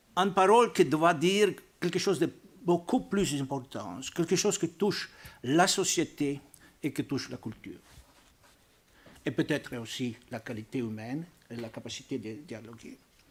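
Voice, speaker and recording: Over a silent background in a very clean recording, a man with a fairly high pitch and very wide pitch swings speaks at a moderate pace, leaving long, frequent pauses. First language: not French (speaking French). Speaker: archbishop and Vatican diplomat. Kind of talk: panel talk. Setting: press club debate with audience. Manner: halting.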